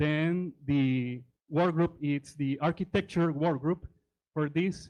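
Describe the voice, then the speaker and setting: Ordinary pitch variation marks a man's fairly high voice. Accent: Spanish. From Honduras. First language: Spanish. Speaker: tech presenter and operating systems teacher. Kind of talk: conference presentation. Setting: conference stage with audience.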